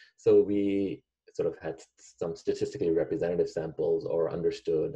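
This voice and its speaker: A man delivers his words at a moderate pace. Behind him, the background stays quiet. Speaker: economics professor presenting research. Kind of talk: lecture. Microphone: video call.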